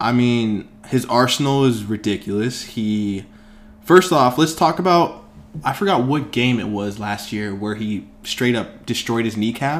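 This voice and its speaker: With lively intonation, a normal speaking voice talks fairly slowly. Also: man, medium pitch for a man. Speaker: sports podcast host. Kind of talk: casual chat.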